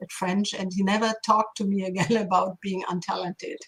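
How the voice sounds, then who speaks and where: With a German accent, a woman speaks at a medium pitch and fairly even intonation. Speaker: linguistics professor. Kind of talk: interview.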